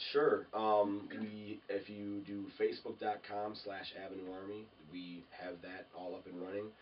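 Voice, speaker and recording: This man's voice sits fairly low, moving at a fairly slow pace with fairly even intonation and big swings in loudness. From Minnesota. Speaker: rock band member. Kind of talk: casual interview chat. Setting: sit-down interview.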